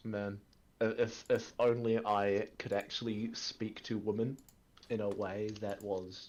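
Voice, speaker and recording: Here a man talks with an Australian accent at a fairly low pitch. His pace is fairly slow and his intonation monotone and flat. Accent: southern Australian drawl. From rural Australia. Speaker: gaming streamer. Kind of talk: casual chat.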